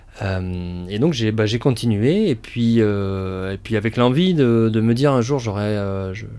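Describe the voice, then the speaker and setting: This man's voice is dark and mellow, sitting at a medium pitch. He talks at a fairly slow pace. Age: 30s. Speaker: restaurant co-founder and chef. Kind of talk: interview. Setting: outdoor guinguette on location. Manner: halting, many fillers and repetitions.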